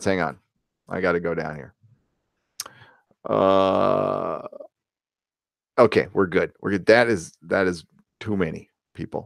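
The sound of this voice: Put-on character voice of a man, very deep and low, mumbling at a fairly slow pace with long, frequent pauses and big swings in loudness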